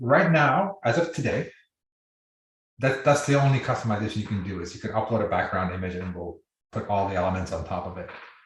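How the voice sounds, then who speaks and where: A man's fairly low, somewhat breathy voice at a very fast pace, with lively intonation and big swings in loudness, over a quiet background. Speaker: software company founder giving product demo. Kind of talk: live webinar tutorial. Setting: video call.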